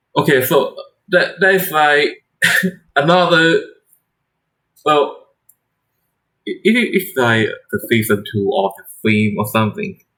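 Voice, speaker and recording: Speaking with a non-native accent, a man talks at a fairly slow pace with long, frequent pauses, his high pitch making very wide swings and his loudness changing greatly. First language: not English. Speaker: shogi streamer. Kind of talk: casual live-stream chat. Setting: live stream. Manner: halting, repeating words.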